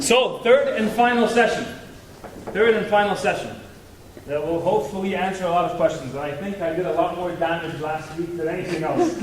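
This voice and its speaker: A man speaks loudly and fairly quickly, with a high pitch and ordinary pitch variation. Audible room echo and noticeable background noise surround him. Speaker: guest speaker on marriage. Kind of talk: talk to youth group. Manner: interactive, joking.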